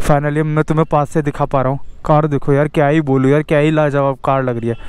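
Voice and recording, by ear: A man talks fast at a fairly high pitch. His tone is slightly mellow, with little pitch movement.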